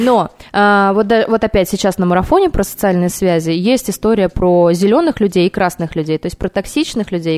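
A woman at a very fast pace, medium pitch, ordinary pitch variation, and a dry, close sound with no echo. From Kaliningrad region, Russia. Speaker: marketer and personal growth project lead. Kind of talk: casual interview. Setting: radio studio. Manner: animated.

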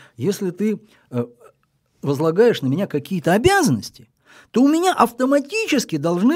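A man speaks at a high pitch with very wide pitch swings. The recording is very clean, with a silent background. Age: 60s. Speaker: veteran journalist. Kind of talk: casual chat.

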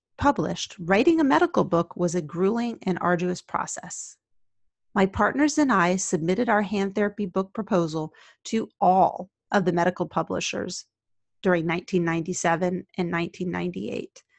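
Over a quiet background, a woman with an unremarkable speaking voice talks at a moderate pace and medium pitch, with ordinary pitch variation, in a dry, close sound with no echo. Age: 50s. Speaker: occupational therapist and podcast host. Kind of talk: scripted narration.

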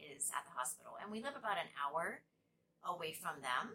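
A woman's voice comes through with a bright, sharp tone. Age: 50s. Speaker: podcast host. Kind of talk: casual monologue.

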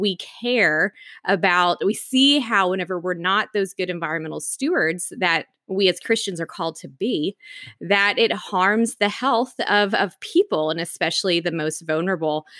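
A woman speaks with an American accent in a normal speaking voice. The sound is dry and close with no echo, at a moderate pace. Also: medium pitch for a woman, ordinary pitch variation. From US South, East Tennessee (Knoxville). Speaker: environmental scientist and policy director. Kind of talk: interview. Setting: remote call with home microphone.

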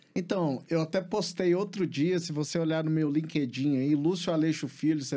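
A man's fairly high-pitched voice with a dark, mellow tone, ordinary pitch variation and a moderate pace, on a very clean recording with a silent background. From Brazil, Belo Horizonte (Minas Gerais). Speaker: entrepreneur and studio owner. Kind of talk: interview. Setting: studio.

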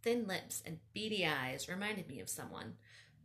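This voice is reading aloud in a natural voice.

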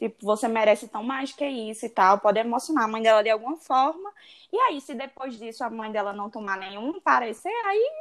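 A woman's unremarkable speaking voice, fairly high-pitched, at a fairly quick pace with big swings in loudness and ordinary pitch variation, on a very clean recording with a silent background. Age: 20s. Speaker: podcast co-host, law student. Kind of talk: casual chat.

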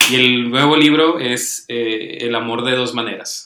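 Medium in pitch, a man uses a normal speaking voice with fairly even intonation. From Tijuana, northern Mexico. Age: 20s. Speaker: writer and psychologist. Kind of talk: casual chat.

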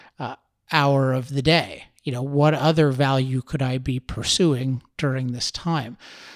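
Fairly slow speech from a man with a fairly high pitch. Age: 30s. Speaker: podcast host and author. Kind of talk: solo podcast monologue. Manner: halting, with frequent fillers and restarts.

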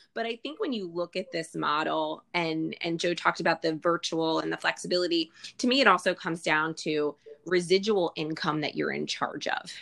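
An unremarkable speaking voice at a moderate pace, with ordinary pitch variation. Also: woman, fairly low pitch for a woman. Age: 40s. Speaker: skincare sales business leader, former clinical researcher. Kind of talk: casual interview with sales pitch elements.

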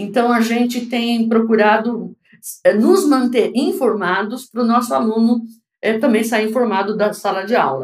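A woman speaks at a moderate pace with lively intonation, a fairly high pitch and a somewhat breathy quality. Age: 60s. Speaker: foreign trade consultant and teacher. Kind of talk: interview.

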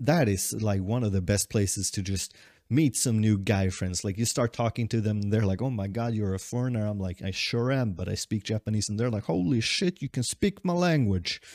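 A man with a Swedish accent talks at a fairly low pitch with hardly any pauses. The recording is very clean, dry and close, with a silent background and no echo. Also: ordinary pitch variation, moderate pace. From Sweden. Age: 20s. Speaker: podcaster. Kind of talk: casual monologue. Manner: rambling, hesitant with fillers.

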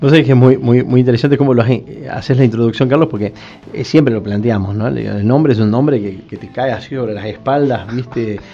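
There is noticeable background noise as a man speaks at a fairly quick pace, with big swings in loudness. His pitch is medium, with ordinary pitch variation. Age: 40s. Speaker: ombudsman. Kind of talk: radio interview. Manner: halting.

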